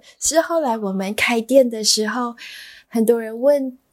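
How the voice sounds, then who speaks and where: Recorded very cleanly over a silent background, a woman speaks in a high-pitched voice. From Malaysia. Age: 30s. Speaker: bakery owner. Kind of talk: interview.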